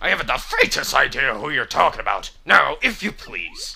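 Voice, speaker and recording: This man is using a put-on character voice. He talks at a moderate speed. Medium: game stream. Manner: stuffy, formal.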